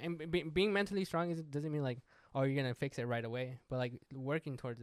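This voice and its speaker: The man talks at a very fast pace in a medium pitch, varying it in an ordinary way. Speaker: podcast co-host. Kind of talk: casual banter.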